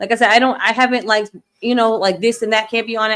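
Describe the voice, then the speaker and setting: A woman with an American accent talks at a very fast pace. Her pitch sits fairly high. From New York. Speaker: livestream show host. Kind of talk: casual chat. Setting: live stream.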